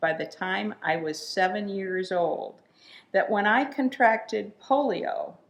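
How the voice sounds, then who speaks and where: The speaker has an American accent. The pace is very slow. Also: woman. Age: 80s+. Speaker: puppeteer and storyteller. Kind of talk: personal storytelling talk. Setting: recorded talk on video.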